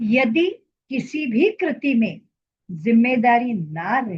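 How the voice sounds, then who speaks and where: In a Marathi accent, a woman talks at a high pitch. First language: Marathi (speaking Hindi). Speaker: social commentator. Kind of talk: opinion monologue.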